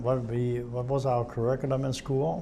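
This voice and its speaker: There is audible room echo around this speaker. A man of medium pitch talks at a fairly slow pace. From Germany, Hamburg area. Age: 70s. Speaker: war-era civilian witness. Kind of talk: oral history interview. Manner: halting, self-correcting.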